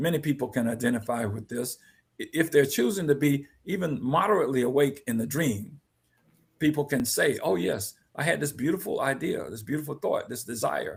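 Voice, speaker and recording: Lively in intonation and somewhat breathy, a man with a fairly high pitch speaks at a fairly quick pace. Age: 70s. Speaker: guest speaker on personal growth. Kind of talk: podcast discussion. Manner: halting.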